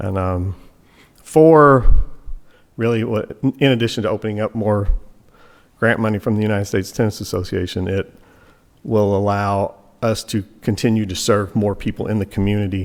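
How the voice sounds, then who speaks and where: A man with a Kentucky accent speaks at a moderate pace with a fairly low pitch. His intonation is fairly even, with long, frequent pauses. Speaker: tennis coach speaking at public meeting. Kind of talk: public comment at township meeting. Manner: halting, repeats words.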